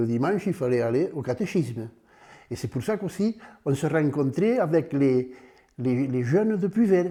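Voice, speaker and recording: Speaking at a moderate pace with long, frequent pauses, a man has a fairly high pitch, a dark, mellow tone and very wide pitch swings. The recording is very clean, with a silent background. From southern France, Aude (Puivert area). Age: 90s. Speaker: retired farmer. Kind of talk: interview testimony. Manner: halting.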